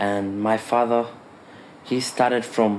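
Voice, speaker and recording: Over noticeable background noise, a man talks in a fairly low pitch with monotone, flat intonation. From Kenya. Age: 20s. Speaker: film student. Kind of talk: personal introduction.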